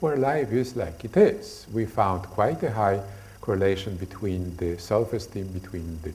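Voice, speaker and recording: In a Polish accent, a man speaks at a moderate pace with lively intonation and a fairly low pitch, with audible room echo around him. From Poland. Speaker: lecturer on stress. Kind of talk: lecture. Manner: halting, many fillers.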